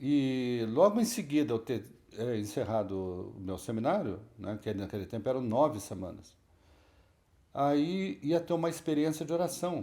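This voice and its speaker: A voice with very wide pitch swings, a dark, mellow tone and a moderate pace. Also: man. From Brazil, São Paulo state (Lorena, Ubatuba). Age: 60s. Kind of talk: testimony. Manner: conversational, with self-corrections.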